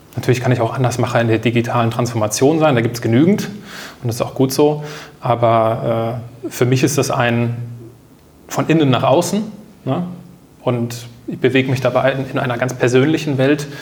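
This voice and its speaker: This man talks at a medium pitch with ordinary pitch variation. He leaves long, frequent pauses. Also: moderate pace. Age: 30s. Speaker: new work consultant, podcaster and author. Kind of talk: casual interview conversation.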